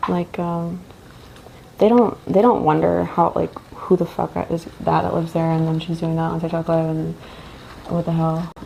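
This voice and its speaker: A woman keeps a moderate pace while noticeable background noise carries on behind her. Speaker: live streamer / content creator. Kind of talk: casual live stream chat. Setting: livestream from home. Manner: loud; rambling, filler-heavy casual speech. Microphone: echoey room.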